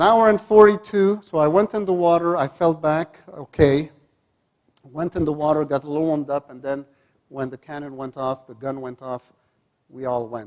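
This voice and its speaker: A man in a plain, everyday voice speaks at a moderate pace with a fairly high pitch, ordinary pitch variation and big swings in loudness. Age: 50s. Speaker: psychologist and coach. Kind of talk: motivational talk.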